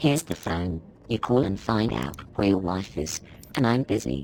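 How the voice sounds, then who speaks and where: A man puts on a character voice with a fairly low pitch, speaking at a moderate pace. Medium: video game. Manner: irritable, curt.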